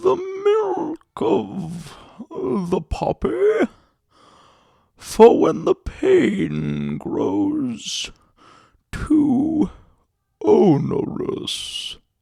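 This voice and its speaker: Using a put-on character voice, a man speaks at an extremely high pitch and a very slow pace, leaving long, frequent pauses. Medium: read story. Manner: soft, obsequious.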